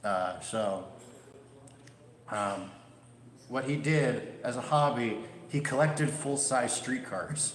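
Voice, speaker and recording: Amid audible room echo and noticeable background noise, a man with a Midwestern accent speaks very slowly at medium pitch, with ordinary pitch variation and long, frequent pauses. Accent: Midwest. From Chicago, US Midwest. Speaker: railway museum volunteer and streetcar conductor giving a history talk. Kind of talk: presentation with audience Q&A. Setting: presentation room with live audience. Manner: casual, conversational with filler words.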